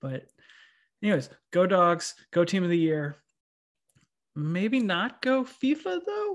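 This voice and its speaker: A somewhat breathy male voice. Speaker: podcast co-host. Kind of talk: casual chat. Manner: talkative.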